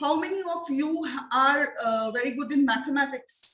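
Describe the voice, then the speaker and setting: A woman with an Indian accent speaks at a high pitch amid audible room echo. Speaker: phonics teacher trainer. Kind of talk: online training lecture. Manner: repetitive, interactive questioning.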